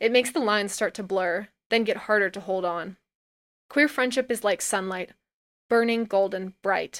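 An unremarkable speaking voice moves at a moderate pace with ordinary pitch variation, the sound dry and close with no echo, in a very clean recording with a silent background. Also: woman, medium pitch for a woman. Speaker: audio narrator. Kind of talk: poetic spoken word, reading aloud a personal essay. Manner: intimate, tender, reflective, lyrical; measured, expressive, wistful pacing.

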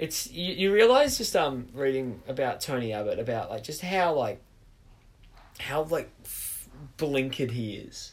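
A man with an Australian accent, fairly high-pitched and somewhat breathy, with lively intonation, a fairly slow pace and long, frequent pauses. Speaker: podcast host. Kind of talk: casual chat. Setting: bedroom home recording.

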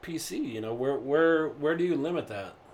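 A man talks at a high pitch and a moderate pace with ordinary pitch variation. Background noise is noticeable. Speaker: podcast guest, co-worker of host. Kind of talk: casual chat.

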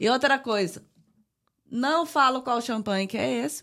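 Very wide pitch swings mark this woman's animated tone. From Brazil. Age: 40s. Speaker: podcast co-host. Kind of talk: casual chat. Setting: home backyard. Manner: talkative, animated.

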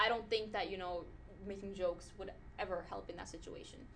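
A woman speaks at a fairly quick pace in a plain, everyday voice. Her pitch sits in the middle range, and her loudness swings widely. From Pakistan, raised in US from age nine. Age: 20s. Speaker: podcast co-host. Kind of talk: casual chat.

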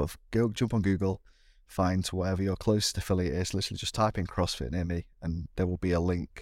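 A man speaks at a fairly quick pace with a British accent, his pitch very deep and low. His intonation is fairly even, and the recording is very clean with a silent background. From Britain. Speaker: CrossFit athlete and primary school teacher. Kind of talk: casual interview chat.

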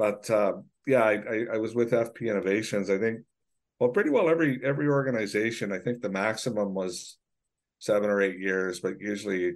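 The man has a Canadian accent and keeps a moderate pace. The background is quiet. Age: 60s. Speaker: forestry association executive. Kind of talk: casual interview. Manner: halting, with many repeated words and fillers.

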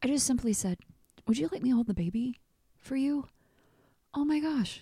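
A woman with a high pitch and a dark, mellow tone speaks with lively intonation. Her speech has long, frequent pauses. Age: 40s. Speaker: podcast host. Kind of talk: casual chat. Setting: studio.

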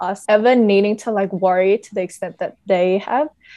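A woman talks at a fairly quick pace in an Australian accent, her pitch medium. Her tone is dark and mellow, with ordinary pitch variation. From Australia (Vietnamese family). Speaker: podcast co-host. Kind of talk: casual chat.

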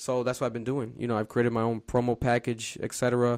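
An American-accented man talks at a very fast pace and medium pitch, in a flat monotone. The sound is dry and close with no echo, over a quiet background. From Providence, Rhode Island, US. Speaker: podcast host and social media influencer. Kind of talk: casual interview. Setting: home studio.

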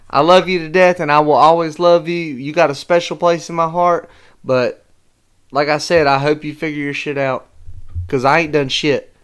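On a very clean recording with a silent background, a man with a Southern US accent speaks at a moderate pace in a fairly high voice with fairly even intonation. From North Carolina. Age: 20s. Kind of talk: heated argument.

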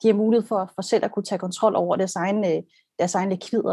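Against a quiet background, a woman speaks at a fairly quick pace. Her pitch is medium. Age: 30s. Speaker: brand designer. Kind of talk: casual discussion on video call. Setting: video call. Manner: repetitive hesitations.

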